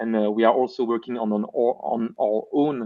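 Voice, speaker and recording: The speech moves at a moderate pace. It carries a Belgian accent. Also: man. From French-speaking Belgium. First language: French. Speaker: VR developer and YouTube educator. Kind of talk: casual live stream chat. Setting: live stream.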